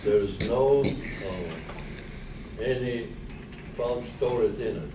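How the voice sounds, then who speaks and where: A man speaks at a medium pitch with ordinary pitch variation. The recording has noticeable background noise and audible room echo. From Poland. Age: 80s+. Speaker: Holocaust survivor speaker. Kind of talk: testimony. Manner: soft-spoken; halting.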